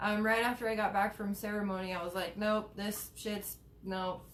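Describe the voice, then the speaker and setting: Over noticeable background noise, a woman at a medium pitch speaks at a moderate pace with monotone, flat intonation. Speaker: cannabis advocate and live streamer. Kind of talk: casual live stream chat. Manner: stutters, many fillers.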